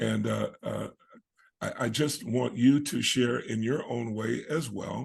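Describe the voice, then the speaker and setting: Somewhat breathy and medium in pitch, a man speaks at a very slow pace. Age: 60s. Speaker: online program host. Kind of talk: video call interview. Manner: halting, many fillers.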